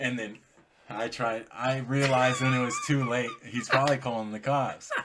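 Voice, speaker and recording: Noticeable background noise sits behind a man speaking at medium pitch. His intonation is monotone and flat. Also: moderate pace. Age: 20s. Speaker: podcast co-host, son. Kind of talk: casual chat.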